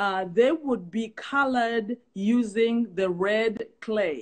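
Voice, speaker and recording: This woman has a South African accent. Her pitch is fairly high. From South Africa, Zulu. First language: isiZulu. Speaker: guest speaker on culture. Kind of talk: casual live-stream chat. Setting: online live stream call. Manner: halting, many fillers and repeats.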